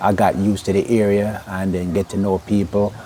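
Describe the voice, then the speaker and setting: Music plays behind this speaker. He is a man with a fairly low pitch. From Jamaica, Clarendon. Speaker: interviewee. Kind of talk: interview. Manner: halting.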